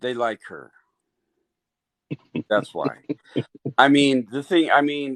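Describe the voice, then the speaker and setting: A man's fairly high voice at a very slow pace, with ordinary pitch variation, long and frequent pauses, big swings in loudness, and a dry, close sound with no echo. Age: 60s. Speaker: caller. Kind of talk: casual discussion.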